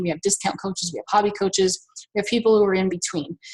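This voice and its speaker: Pitch moves with ordinary variation. There is a somewhat breathy quality to the voice. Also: woman. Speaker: network marketing fitness coach. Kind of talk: webinar presentation. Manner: fast; casual.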